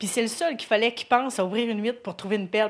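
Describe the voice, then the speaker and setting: Recorded very cleanly against a silent background, a woman speaks at a fairly high pitch with ordinary pitch variation. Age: 30s. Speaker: churchgoer. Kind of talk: testimony. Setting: church.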